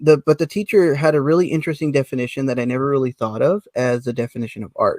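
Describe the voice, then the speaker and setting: In a dry, close sound with no echo, a man with an American accent and an unremarkable speaking voice talks at a fairly quick pace, fairly high in pitch with ordinary pitch variation. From United States. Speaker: artist guest. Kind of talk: casual podcast discussion.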